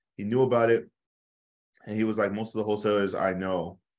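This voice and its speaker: A man with an American accent, fairly low-pitched and flat in intonation, talking very fast on a very clean recording with a silent background. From US with teen years in Nigeria. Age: 20s. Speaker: real estate investor. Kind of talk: podcast interview.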